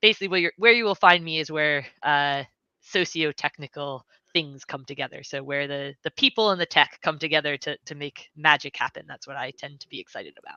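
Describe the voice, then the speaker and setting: Very deep and low in pitch, a woman with an American accent speaks at a fairly quick pace, with ordinary pitch variation and big swings in loudness. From United States. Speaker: software engineer. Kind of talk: livestream interview.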